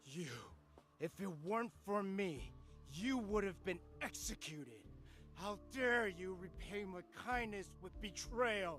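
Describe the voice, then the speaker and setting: Clear music plays behind a man doing a put-on character voice, high-pitched and angry in tone, who speaks fairly slowly with long, frequent pauses. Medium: video game. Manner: angry, strained.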